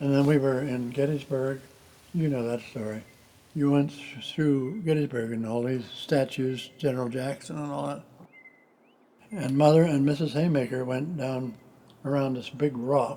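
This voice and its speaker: An American accent marks this man's medium-pitched voice, with fairly even intonation. He keeps a moderate pace over noticeable background noise. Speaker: retired country doctor. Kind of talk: family storytelling. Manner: casual, anecdotal.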